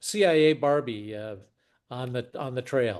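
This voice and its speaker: With an unremarkable speaking voice, a man of medium pitch talks at a moderate pace and with ordinary pitch variation. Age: 60s. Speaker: podcast host and investor. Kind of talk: casual chat.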